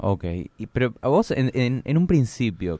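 Over a quiet background, a man with a Rioplatense accent talks in a dark, mellow tone at medium pitch with lively intonation. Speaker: radio host. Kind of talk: radio interview. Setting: studio.

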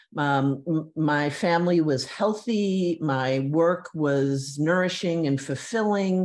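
A woman talks at a very slow pace with a very deep, low voice and ordinary pitch variation. Her loudness stays very even, and she hardly pauses at all. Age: 60s. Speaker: former advertising art director, walking advocate. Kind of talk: interview.

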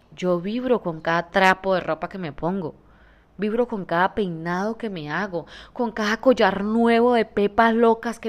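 Pitch shifts in an ordinary way. An animated tone comes through. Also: woman, very clean recording, silent background. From Colombia, Santander. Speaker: podcaster and entrepreneur. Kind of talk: motivational monologue.

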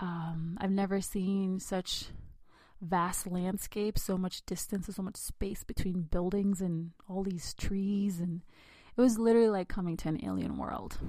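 Somewhat breathy and dark, mellow in tone, a woman speaks at a fairly slow pace with fairly even intonation in a very clean recording with a silent background. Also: medium pitch for a woman. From India, raised in the United States from age six. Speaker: podcast host. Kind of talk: personal storytelling monologue.

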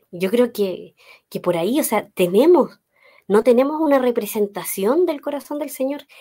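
At a moderate pace, the speech has a dark, mellow tone and lively intonation. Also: woman. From Chile, Los Ángeles. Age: 30s. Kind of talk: faith talk interview.

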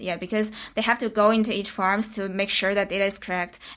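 On a very clean recording with a silent background, a woman speaks at a fairly quick pace with monotone, flat intonation. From China. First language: Mandarin Chinese. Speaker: graduate student. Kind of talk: casual interview.

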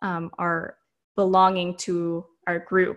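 In a very clean recording with a silent background, a woman with an American accent speaks in a fairly low, monotone voice with flat intonation. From US. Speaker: doctoral student researching shame. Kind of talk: interview. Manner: frequent fillers, hesitant.

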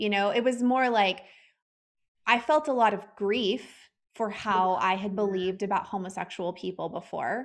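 A woman with an American accent talks at a moderate pace, her pitch medium with ordinary variation. She has a normal speaking voice, and the background is quiet. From Texas. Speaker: podcast host and former health coach. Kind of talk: interview conversation.

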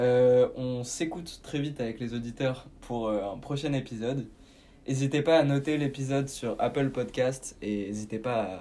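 A man's dark, mellow voice at a medium pitch, moderate in pace with fairly even intonation, in a very clean recording with a silent background. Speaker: podcast host. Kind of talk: scripted narration; casual chat.

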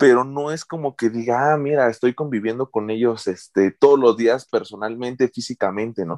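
A man with a normal speaking voice, medium pitch and ordinary pitch variation, moderate pace with hardly any pauses, dry, close sound with no echo. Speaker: teacher, podcast co-host. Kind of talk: casual chat.

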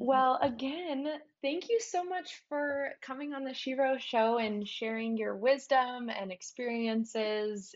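A woman with an American accent, lively intonation and a very slow pace. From US Pacific Northwest, small town in Washington State. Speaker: podcast host and business founder. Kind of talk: interview.

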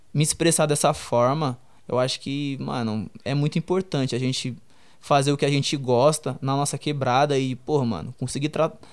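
Here is a man with a plain, everyday voice. His pitch sits in the middle, his pace is moderate, and his pitch varies in an ordinary way. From Brazil, Perus, São Paulo periphery. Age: 20s. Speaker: streetwear entrepreneur and designer. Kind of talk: casual interview.

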